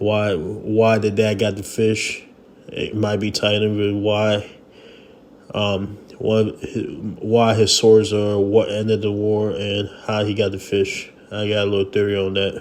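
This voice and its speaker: A man with a fairly low voice talks at a fairly slow pace in a flat monotone. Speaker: manga and webtoon reviewer. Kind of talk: casual talk to camera. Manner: casual, hesitant with fillers.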